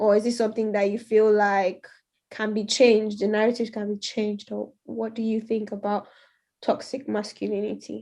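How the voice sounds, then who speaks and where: Monotone, flat intonation at a moderate pace. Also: woman, fairly high pitch for a woman. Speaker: youth radio show co-host. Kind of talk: radio talk show interview. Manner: hesitant, many fillers.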